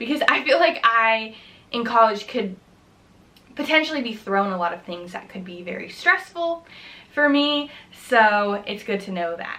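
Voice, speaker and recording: Pausing long and often, a woman speaks at a moderate pace with big swings in loudness and very wide pitch swings. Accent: American. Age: 20s. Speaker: college student. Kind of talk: casual talk to camera. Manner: upbeat, friendly.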